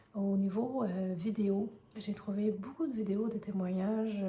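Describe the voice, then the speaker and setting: Medium-pitched woman's voice over noticeable background noise. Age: 30s. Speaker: vlogger sharing health experience. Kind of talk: personal testimony. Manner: hesitant, many filler sounds.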